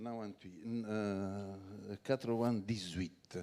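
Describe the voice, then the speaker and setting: At a very slow pace, a man with a Neapolitan accent speaks in a dark, mellow tone. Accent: Neapolitan Italian accent in French. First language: Italian (speaking French). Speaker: wine organization president. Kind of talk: conference talk.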